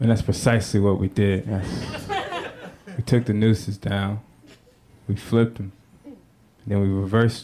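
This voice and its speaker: The speaker talks at a moderate pace with fairly even intonation, leaving long, frequent pauses. Loudness swings a lot, and background noise is noticeable. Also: man, fairly low pitch for a man. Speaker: stand-up comedian. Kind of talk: stand-up. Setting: stage with audience.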